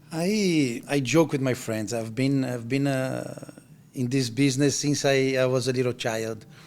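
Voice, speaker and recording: Noticeable background noise sits behind a man who speaks at a medium pitch and a fairly slow pace, with ordinary pitch variation. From Brazil, São Paulo. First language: Portuguese. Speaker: chef. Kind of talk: interview. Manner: halting, many fillers and repetitions.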